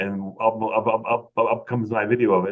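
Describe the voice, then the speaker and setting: In an American accent, a man talks at a fairly low pitch with monotone, flat intonation. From US Midwest. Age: 50s. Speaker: realtor. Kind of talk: interview. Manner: halting, repetitive.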